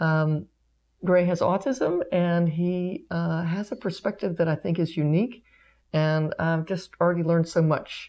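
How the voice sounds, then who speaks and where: A woman talks at a fairly slow pace with ordinary pitch variation. Her pitch is fairly low, and she has an ordinary speaking voice. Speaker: pediatric physical therapist. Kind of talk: interview questions.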